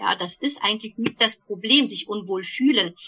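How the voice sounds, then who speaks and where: Lively intonation carries over noticeable background noise. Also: woman. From Germany, Bonn. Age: 40s. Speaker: podcast co-host, energy practitioner. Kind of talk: casual chat. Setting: remote call.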